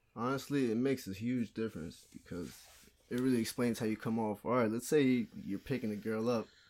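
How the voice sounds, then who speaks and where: A man speaks at medium pitch and a fairly quick pace, in an ordinary speaking voice. His pitch varies in an ordinary way, and the recording is very clean with a silent background. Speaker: podcast guest. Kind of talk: casual chat.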